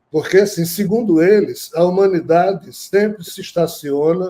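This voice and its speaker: The man has a high pitch and a dark, mellow tone. He speaks at a moderate pace. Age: 60s. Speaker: spiritual teacher and author. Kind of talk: interview on spirituality.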